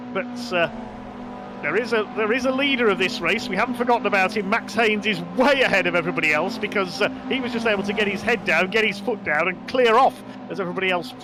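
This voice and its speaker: With noticeable background noise behind him, a man uses a raised, projected voice at a high pitch, talking at a fairly quick pace with ordinary pitch variation. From West Midlands, England. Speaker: sim racing commentator. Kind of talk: live commentary. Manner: animated.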